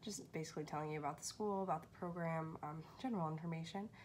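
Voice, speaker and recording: Over light background noise, a woman talks very fast with ordinary pitch variation. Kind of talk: casual vlog chat. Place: home room. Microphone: phone near.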